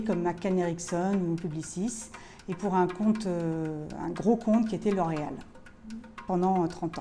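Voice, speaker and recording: Lively in her intonation, a woman speaks at a fairly slow pace. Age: 60s. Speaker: bar manager, former media planner. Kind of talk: interview testimony. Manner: hesitant, many fillers.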